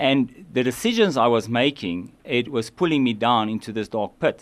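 Lively in intonation, a man talks in a normal speaking voice at a moderate pace against a quiet background. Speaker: addiction recovery charity worker. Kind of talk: radio interview. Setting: radio studio.

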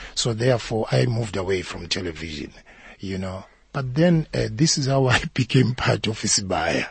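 A man talks at a fairly low pitch and a moderate pace. His voice is somewhat breathy, and its pitch swings very widely. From South Africa, KwaZulu-Natal (township outside Durban). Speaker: actor. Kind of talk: interview. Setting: studio.

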